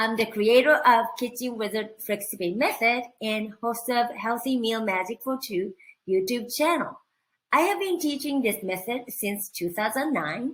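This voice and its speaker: A woman with a Japanese accent speaks at a fairly high pitch. Her intonation is lively. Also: fairly slow pace. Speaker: cooking instructor. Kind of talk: online training presentation.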